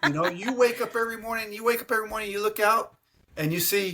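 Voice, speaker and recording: A man with a Texan accent, his voice raised and projected, bright and sharp in tone. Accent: Texan American English. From Texas. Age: 60s. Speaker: travel agent. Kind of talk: casual interview. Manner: animated.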